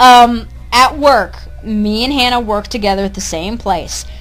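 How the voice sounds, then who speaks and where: A woman's fairly high voice is heard through noticeable background noise. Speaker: podcast co-host, call center worker. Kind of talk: casual chat. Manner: loud.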